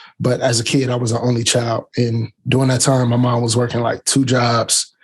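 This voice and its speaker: This man has a medium-pitched voice that is somewhat breathy. His intonation is monotone and flat. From Canton, Ohio, US Midwest. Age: 30s. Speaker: tech YouTuber. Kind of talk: interview.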